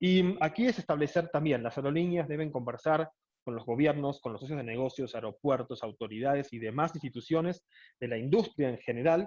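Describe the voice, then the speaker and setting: Against a quiet background, a man with a fairly high pitch and a dark, mellow tone talks at a fairly quick pace with lively intonation. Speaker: airline executive. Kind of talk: lecture. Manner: fast.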